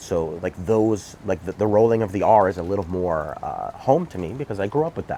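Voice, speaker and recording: Dark, mellow tone in a New York accent, fairly quick with hardly any pauses and lively intonation. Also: man, fairly low pitch for a man. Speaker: political commentator. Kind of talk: casual monologue. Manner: animated; halting.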